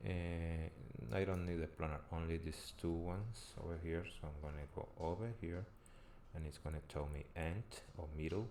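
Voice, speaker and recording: A man with a Spanish accent speaks at a very deep, low pitch. His tone is dark and mellow. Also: ordinary pitch variation, moderate pace. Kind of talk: tutorial. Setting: live stream.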